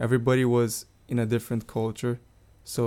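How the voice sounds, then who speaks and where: Speaking with a Portuguese accent, a man uses a medium pitch and a dark, mellow tone. His pace is fairly quick. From Brazil, Rio de Janeiro. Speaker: international student and soccer player. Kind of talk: interview.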